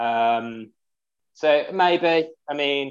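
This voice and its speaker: This is a man speaking with a Birmingham accent. His pitch variation is ordinary. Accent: Birmingham (Brummie) English. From Birmingham, England. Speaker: amateur ultra runner, charity fundraiser. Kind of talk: casual interview. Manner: hesitant, many fillers.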